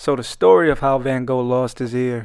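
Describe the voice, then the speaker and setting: Ordinary pitch variation comes through in a very clean recording with a silent background. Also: man. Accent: Brooklyn. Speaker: artist and YouTuber. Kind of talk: comedic commentary over speedpaint. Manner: animated.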